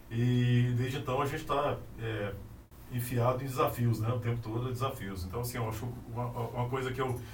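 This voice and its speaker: Amid noticeable background noise and audible room echo, a man talks at a fairly quick pace in a monotone, flat way. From Anápolis, Goiás, Brazil. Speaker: architect. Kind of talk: casual interview. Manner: halting, many repetitions.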